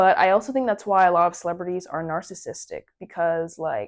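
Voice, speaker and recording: On a very clean recording with a silent background, a woman talks at a fairly quick pace with a medium pitch and ordinary pitch variation. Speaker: musician vlogger. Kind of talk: casual talk video. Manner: fast; animated.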